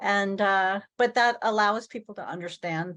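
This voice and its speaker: With an American accent, a woman talks at a moderate pace and medium pitch, with ordinary pitch variation over a quiet background. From Kansas. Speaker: widow coach. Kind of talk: interview. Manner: halting.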